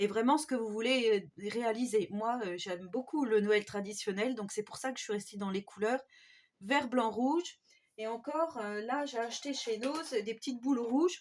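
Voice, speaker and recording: Ordinary pitch variation marks this woman's fairly high voice, delivered at a moderate pace. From France, Haute-Marne. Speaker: DIY crafts YouTuber. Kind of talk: tutorial. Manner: hesitant, many fillers.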